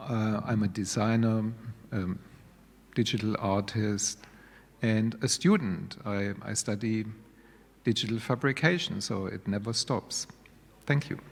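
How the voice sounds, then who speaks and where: A man with a German accent talks at a fairly slow pace in a fairly low pitch, with ordinary pitch variation and long, frequent pauses. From Germany. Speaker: digital media course coordinator. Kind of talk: panel discussion.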